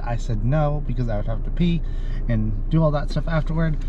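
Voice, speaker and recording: Speaking at a fairly quick pace with fairly even intonation, a man is heard in a dry sound with no echo amid noticeable background noise. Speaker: food reviewer. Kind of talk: casual vlog chat. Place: car. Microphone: phone near.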